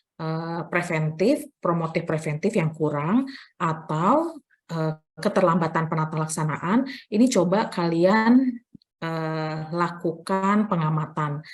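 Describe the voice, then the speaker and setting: Her pitch varying in an ordinary way, a woman speaks very slowly. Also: fairly low pitch for a woman. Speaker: nursing lecturer. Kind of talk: lecture. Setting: online class from library. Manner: soft-spoken; hesitant with fillers.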